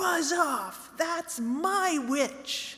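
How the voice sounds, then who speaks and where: A woman puts on a character voice, raised and projected, shrill yet growling and croaky, at an extremely high pitch. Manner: menacing, defiant.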